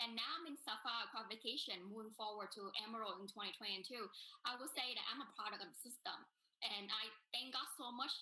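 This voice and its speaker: A woman at a fairly high pitch with a Vietnamese accent. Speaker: business networker. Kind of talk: testimony.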